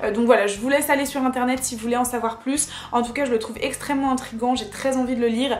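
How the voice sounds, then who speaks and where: The speech moves at a fairly quick pace. Noticeable background noise and audible room echo come through. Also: woman. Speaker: book and haul YouTuber. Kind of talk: casual vlog haul. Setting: home video recording. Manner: hesitant with fillers.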